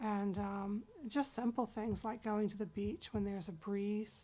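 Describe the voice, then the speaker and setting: Flat and monotone, a woman speaks at a fairly slow pace. Her pitch is medium. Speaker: patient sharing her illness story. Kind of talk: personal testimony. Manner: hesitant with fillers.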